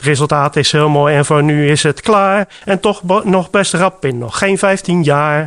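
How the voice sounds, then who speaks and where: Against a quiet background, a man speaks at a fairly slow pace with hardly any pauses. His voice is fairly high, with ordinary pitch variation. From Rotterdam, Netherlands. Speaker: village council volunteer. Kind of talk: radio interview. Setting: village library. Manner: halting, many fillers.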